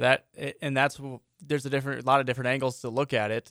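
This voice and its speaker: Speaking with an American accent, a man uses monotone, flat intonation and a bright, sharp tone. The recording is very clean with a silent background and a dry, close sound with no echo. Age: 20s. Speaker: sports radio host. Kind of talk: casual chat.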